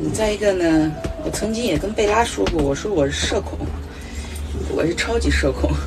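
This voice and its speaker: Noticeable background noise behind a woman talking at moderate speed. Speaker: solo RV traveler vlogger. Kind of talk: casual vlog chat. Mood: relaxed, chatty, occasional laughs. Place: home room. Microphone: phone near.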